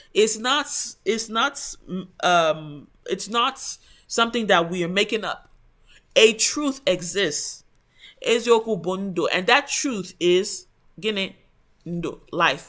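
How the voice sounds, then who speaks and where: With an English accent, the speaker talks at a very slow pace with long, frequent pauses. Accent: English-accented Igbo, poor Igbo intonation. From Igbo heritage raised abroad in English-speaking country. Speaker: book study channel host. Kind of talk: book review talk. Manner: hesitant, many fillers.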